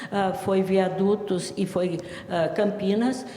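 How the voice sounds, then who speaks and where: Over noticeable background noise, a woman with a medium pitch talks at a fairly slow pace. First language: Italian dialect (Talian) (speaking Portuguese). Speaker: writer and language researcher, professor. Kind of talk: interview.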